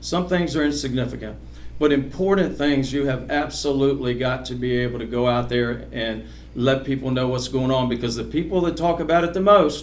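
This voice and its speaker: A man talks at a fairly quick pace with ordinary pitch variation. Noticeable background noise and audible room echo surround him. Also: medium pitch for a man. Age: 60s. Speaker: political candidate. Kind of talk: candidate forum speech. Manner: halting, many repetitions.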